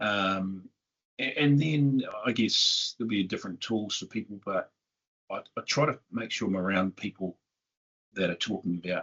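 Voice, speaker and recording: Speaking with a New Zealand accent, a man uses a fairly low pitch at a moderate pace. His pauses are long and frequent. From southern New Zealand. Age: 50s. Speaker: tech company CEO. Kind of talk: interview.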